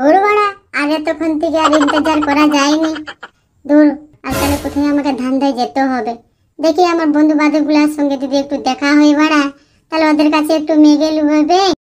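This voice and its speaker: A cartoonish character voice pitched high. It moves along at a moderate pace. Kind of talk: crude comic cartoon voice acting. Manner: crude slang, swearing.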